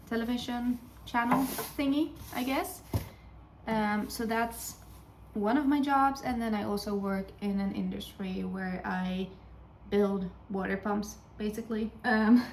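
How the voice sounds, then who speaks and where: Speaking with a Dutch accent, a woman with a fairly high pitch and ordinary pitch variation talks at a fairly slow pace with long, frequent pauses over noticeable background noise. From Sweden. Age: 20s. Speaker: vlogger and teaching student. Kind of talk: casual vlog chat. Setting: home kitchen while baking. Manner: hesitant with many fillers.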